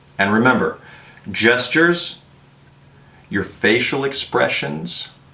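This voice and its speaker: The speaker talks at a very slow pace with very wide pitch swings, and there is noticeable background noise. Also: man, medium pitch for a man. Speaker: English teacher in Korea. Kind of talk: tutorial.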